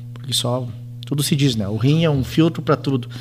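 A man's fairly high-pitched voice at a moderate pace, over noticeable background noise. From Rio Grande do Sul, Brazil (Entre-Ijuís). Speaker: physician and hospital president. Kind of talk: casual radio interview.

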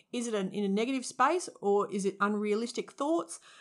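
A woman with an Australian accent speaks at a moderate pace and a medium pitch, on a very clean recording with a silent background. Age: 30s. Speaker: former high school teacher and youth worker. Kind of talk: interview.

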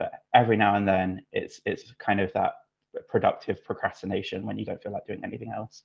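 The speaker is a man in a British accent. He talks at a very fast pace. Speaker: UX writer. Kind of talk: casual chat.

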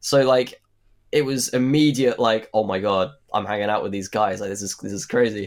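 The recording is very clean, with a silent background. A man with a British accent speaks with ordinary pitch variation. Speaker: actor. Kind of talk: casual interview. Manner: casual, hesitant.

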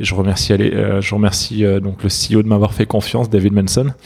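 A man talks at a fairly quick pace in a fairly low voice, his intonation flat and monotone. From southern France. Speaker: startup founder. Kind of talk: interview. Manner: halting, many fillers.

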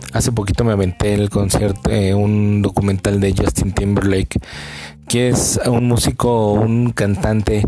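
A man with a Mexican accent talks at a fairly slow pace, his pitch fairly low and his intonation fairly even. Noticeable background noise sits behind him. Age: 30s. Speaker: podcast host. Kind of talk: casual monologue.

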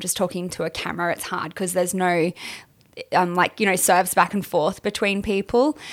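On a very clean recording with a silent background, a woman with an Australian accent speaks at a fairly quick pace. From Queensland, Australia. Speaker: adult film performer. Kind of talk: casual interview chat.

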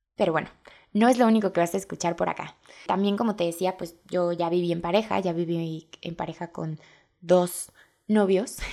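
Recorded very clean with a silent background, a woman has an ordinary speaking voice, fairly low pitch, fairly even intonation and a moderate pace. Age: 20s. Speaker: podcast host and blogger. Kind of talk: casual monologue.

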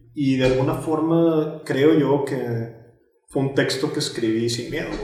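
Audible room echo surrounds a man speaking fairly slowly at a medium pitch, his intonation monotone and flat. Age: 30s. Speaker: writer and podcaster. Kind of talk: casual interview.

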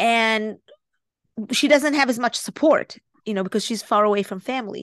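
The voice, in an Israeli accent, moves at a moderate pace with lively intonation over a quiet background. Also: woman. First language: Hebrew. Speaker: life coach. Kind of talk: podcast interview.

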